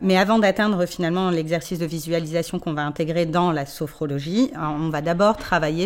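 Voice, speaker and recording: The recording is very clean with a silent background. A woman speaks at a fairly quick pace in a fairly low pitch with ordinary variation. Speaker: sophrologist. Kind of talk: interview. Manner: fast.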